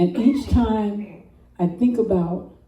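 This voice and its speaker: A woman with an American accent speaks very slowly, her voice somewhat breathy with a dark, mellow tone. Her pitch varies in an ordinary way. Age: 70s. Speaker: storyteller. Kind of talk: personal storytelling. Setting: open mic with audience.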